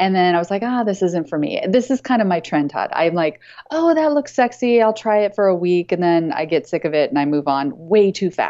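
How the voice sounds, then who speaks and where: With hardly any pauses, a woman of medium pitch talks at a fairly quick pace, her pitch swinging very widely. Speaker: business coach and author. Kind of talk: casual chat. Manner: fast.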